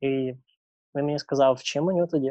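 A man talks at a fairly quick pace in a medium pitch. His is a normal speaking voice. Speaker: traveller. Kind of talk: interview.

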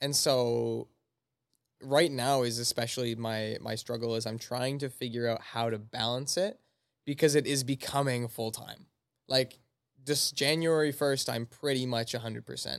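A man at a medium pitch and moderate pace, with fairly even intonation, on a very clean recording with a silent background. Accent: Canadian. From Canada, Manitoba. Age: 20s. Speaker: personal trainer. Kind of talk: casual chat.

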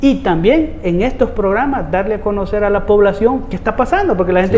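A man's high voice with a Salvadoran accent at a moderate pace, over noticeable background noise. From El Salvador, Soyapango. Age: 40s. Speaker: municipal councillor. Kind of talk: interview.

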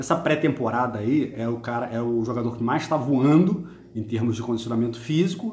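A man speaks at a medium pitch with ordinary pitch variation. Room echo is audible. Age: 50s. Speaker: football podcast host. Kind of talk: casual chat. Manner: animated.

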